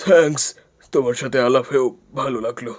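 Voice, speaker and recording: A man puts on a raspy character voice at medium pitch. He talks at a moderate pace. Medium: fan dub. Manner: proud, self-assured.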